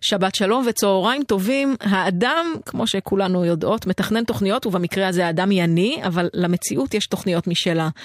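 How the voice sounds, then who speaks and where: A woman at medium pitch and a moderate pace, with ordinary pitch variation, very even loudness and hardly any pauses, in a dry, close sound with no echo and noticeable background noise. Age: 40s. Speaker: radio host. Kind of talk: scripted narration; casual chat. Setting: studio.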